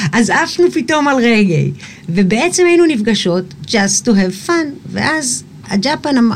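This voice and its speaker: A woman's fairly high voice moves in very wide pitch swings at a fairly slow pace. Her loudness stays very even over noticeable background noise. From Israel, Eilat. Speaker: singer. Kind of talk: casual chat.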